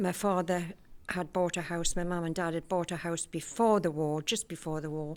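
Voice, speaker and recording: Woman with a Geordie accent, fairly low pitch and fairly even intonation. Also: moderate pace. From Newcastle, northeast England. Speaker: community group member. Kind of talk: personal life story.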